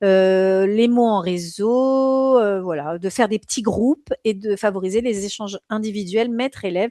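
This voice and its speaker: A woman of medium pitch and a dark, mellow tone speaks at a fairly slow pace with hardly any pauses and ordinary pitch variation, in a dry, close sound with no echo. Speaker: exam prep teacher. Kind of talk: live online lecture. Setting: live stream. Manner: hesitant, many fillers.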